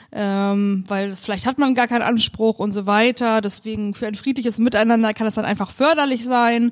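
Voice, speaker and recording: With hardly any pauses, a woman talks at a moderate pace in an ordinary speaking voice, her pitch fairly high and her intonation fairly even. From northern Germany, near Hamburg. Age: young. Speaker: lawyer. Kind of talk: casual interview. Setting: law office.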